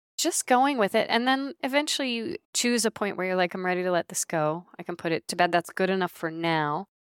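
A woman speaks in a normal speaking voice at a medium pitch and moderate pace. The sound is dry and close, with no echo. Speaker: author and somatic leadership coach. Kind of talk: casual interview conversation. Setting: video call. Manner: light, warm, laughs often.

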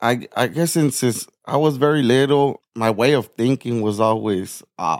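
In an American accent, a man with an ordinary speaking voice talks at a fairly slow pace and medium pitch, with ordinary pitch variation, very even loudness and hardly any pauses, on a very clean recording with a silent background. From Nogales, Arizona (US/Mexico border town). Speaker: peer support specialist and jail liaison. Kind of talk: interview sharing personal recovery testimony.

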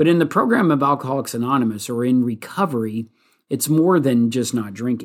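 A man with an American accent has an unremarkable speaking voice at a medium pitch with ordinary pitch variation. He talks at a fairly quick pace in a very clean recording with a silent background. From California, US. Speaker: podcast host, recovering alcoholic. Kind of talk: solo podcast monologue. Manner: casual with many fillers and restarts.

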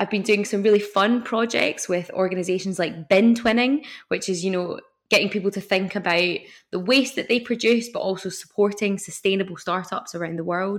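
With a Scottish accent, a woman talks at a fairly quick pace in a medium pitch and fairly even intonation. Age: 20s. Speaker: environmental scientist and zero waste influencer. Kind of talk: interview.

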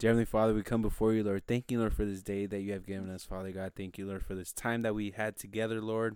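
Delivery is very fast, with hardly any pauses. The intonation is monotone and flat. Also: man, fairly low pitch for a man. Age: 20s. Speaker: podcast host. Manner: nervous.

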